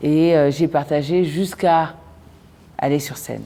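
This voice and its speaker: A woman with a very deep, low pitch, monotone, flat intonation and a very slow pace. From DR Congo, Lubumbashi. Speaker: poet and actress. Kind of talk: interview testimony. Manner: hesitant, many fillers.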